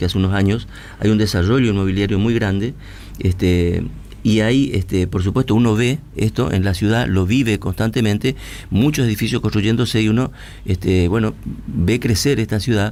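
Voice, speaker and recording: A man with a normal speaking voice talks at a moderate pace, with a fairly low pitch, ordinary pitch variation and very even loudness. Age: 60s. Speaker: radio host. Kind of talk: interview.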